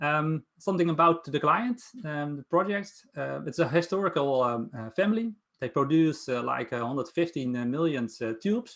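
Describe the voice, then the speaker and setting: A man with a Dutch accent and lively intonation. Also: fairly high pitch for a man, moderate pace. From Netherlands. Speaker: Power BI consultant presenting a project. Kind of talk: project presentation. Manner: halting, many fillers.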